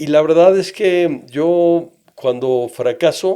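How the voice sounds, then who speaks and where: His tone is dark and mellow, and this man speaks at a fairly high pitch with ordinary pitch variation. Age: 60s. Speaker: entrepreneur. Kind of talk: interview.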